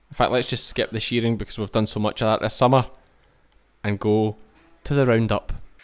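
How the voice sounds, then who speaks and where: With a strong Scottish accent, a man speaks in a medium pitch and a flat monotone, going at a fairly quick pace but breaking often into long pauses. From Scotland. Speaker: sheep farmer and vlogger. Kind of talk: vlog narration. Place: farm machine.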